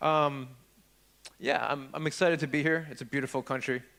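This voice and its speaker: At a moderate pace, a man in a New York accent speaks with a fairly high pitch and a bright, sharp tone. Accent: New York American. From upstate New York. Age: 40s. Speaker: security researcher, conference speaker. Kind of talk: conference talk. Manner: casual, halting with many fillers.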